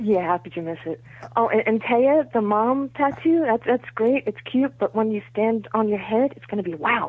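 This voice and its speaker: This woman has an ordinary speaking voice with a fairly high pitch. She talks at a moderate pace, with big swings in loudness. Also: lively intonation. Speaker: caller. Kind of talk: casual chat. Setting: phone call.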